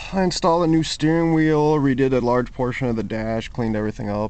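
The man's voice has a dark, mellow tone and ordinary pitch variation, in a dry sound with no echo. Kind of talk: casual vlog chat. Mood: relaxed, enthusiastic. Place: street. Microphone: phone near.

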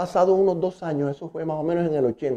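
This man talks at a moderate pace with fairly high pitch and ordinary pitch variation. His tone is dark and mellow, and the background is quiet. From Barranquilla, Colombian Caribbean coast; Colombian Caribbean coast. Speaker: musician and conductor. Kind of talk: interview storytelling. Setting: at his home. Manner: casual, colloquial. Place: home room. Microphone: lapel.

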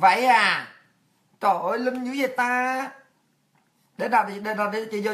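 A fairly slow pace and ordinary pitch variation over a quiet background. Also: woman. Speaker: political commentary show host. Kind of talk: political monologue. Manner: animated. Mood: indignant, scolding. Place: home room.

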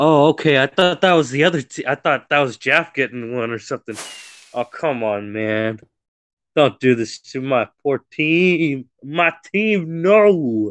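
A man with a fairly high pitch talks at a fairly slow pace in an animated tone with lively intonation. The sound is dry and close with no echo. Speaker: gaming streamer and team captain. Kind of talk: casual live gaming commentary. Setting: online voice chat while streaming. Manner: excitable, animated.

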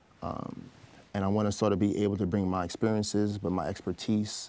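Speaking fairly quickly in a New York accent, a man uses a fairly low pitch and a dark, mellow tone, his intonation monotone and flat, in a dry sound with no echo. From Brooklyn, New York, Trinidadian family. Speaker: gun violence prevention advocate; interview guest. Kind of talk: interview. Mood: calm, reflective. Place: studio. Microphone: lapel.

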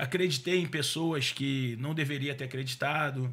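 This is a man's voice at a medium pitch. His pitch variation is ordinary. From Rio de Janeiro state (Duque de Caxias, Baixada Fluminense); Rio de Janeiro state, Brazil. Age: 40s. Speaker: car dealer and business owner; podcast guest. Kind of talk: casual interview. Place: studio. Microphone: studio mic.

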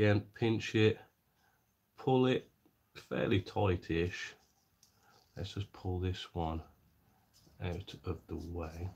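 A man talks with a very deep, low pitch that is somewhat breathy. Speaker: scale model maker. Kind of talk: live-stream tutorial. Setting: live stream. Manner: casual, thinking aloud.

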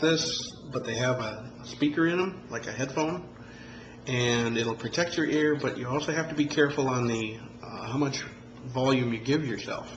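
At a moderate pace, a man speaks with medium pitch and ordinary pitch variation. Room echo is audible, along with light background noise. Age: 40s. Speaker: amateur musician vlogger. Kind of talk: tutorial. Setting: home video recording. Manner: halting, many fillers. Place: home room. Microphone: phone near.

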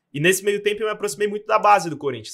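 The man's tone is bright and sharp, with ordinary pitch variation. Behind him the background is quiet. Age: 20s. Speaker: sports journalist. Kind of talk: casual chat. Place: studio. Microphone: studio mic.

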